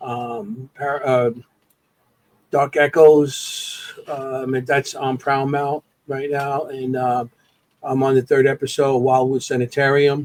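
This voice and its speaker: Dry and close with no echo, a man's medium-pitched voice moves at a fairly slow pace in a flat monotone. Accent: American. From New York. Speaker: paranormal investigator. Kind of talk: casual podcast interview. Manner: halting, many fillers.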